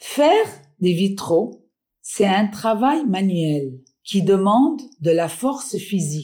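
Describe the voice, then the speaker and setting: A woman's somewhat breathy, dark, mellow voice at a medium pitch, very slow and with very wide pitch swings, on a very clean recording with a silent background. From Lebanon, Beirut. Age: 60s. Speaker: stained glass artisan. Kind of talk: storytelling.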